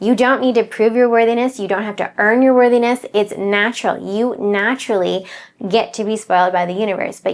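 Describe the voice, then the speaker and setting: A woman talks at a fairly quick pace with fairly even intonation. It is a plain, everyday voice on a very clean recording with a silent background. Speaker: manifestation coach. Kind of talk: motivational talk.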